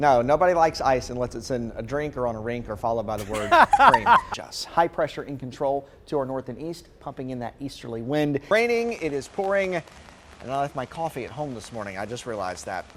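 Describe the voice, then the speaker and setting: A man with an American accent speaks at a fairly quick pace in a medium pitch with an upbeat tone. Noticeable background noise runs behind him. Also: lively intonation. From North Carolina, USA. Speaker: TV meteorologist. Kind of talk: live TV weather clips. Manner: upbeat, friendly.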